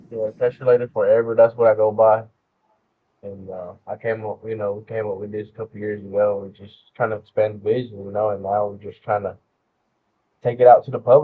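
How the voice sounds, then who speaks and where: A man with a Southern accent talks at a fairly quick pace. His fairly low voice stays monotone and flat. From US South. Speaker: rapper. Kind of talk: interview. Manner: hesitant, many fillers.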